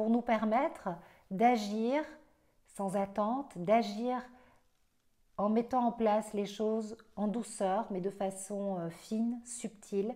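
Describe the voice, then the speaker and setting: A woman with a dark, mellow tone and a fairly high pitch speaks at a very slow pace. Her intonation is fairly even, broken by long, frequent pauses. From Belgium. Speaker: astrologer. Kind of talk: astrology forecast monologue. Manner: hesitant, many fillers.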